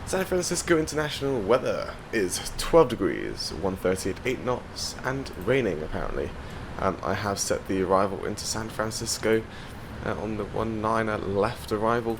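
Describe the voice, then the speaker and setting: A man at a moderate pace, medium in pitch, with lively intonation and noticeable background noise. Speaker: flight sim YouTuber. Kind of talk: gameplay commentary. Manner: loud.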